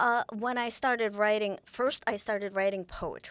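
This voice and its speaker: A woman speaks at a fairly high pitch in a Russian accent, with ordinary pitch variation. The recording is very clean, with a silent background. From Ukraine. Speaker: author. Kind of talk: interview conversation. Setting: studio. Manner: halting, many restarts.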